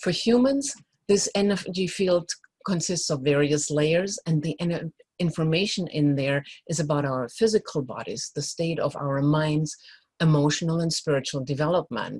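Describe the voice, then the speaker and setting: Somewhat breathy speech comes at a moderate pace, its pitch varying in an ordinary way. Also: woman, very deep, low pitch for a woman. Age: 60s. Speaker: joy coach, energy healer. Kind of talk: talk at a live event, teaching and personal story.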